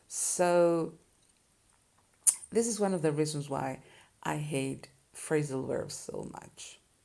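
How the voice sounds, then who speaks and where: Speaking at a very slow pace with long, frequent pauses, a woman uses a very deep, low pitch and a dark, mellow tone, with ordinary pitch variation and big swings in loudness. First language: Spanish. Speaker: Spanish teacher. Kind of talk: tutorial. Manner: casual, conversational.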